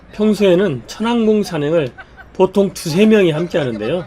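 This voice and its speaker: Over noticeable background noise, a man speaks with lively intonation at a high pitch. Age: 70s. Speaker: hiker. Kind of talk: travel vlog narration.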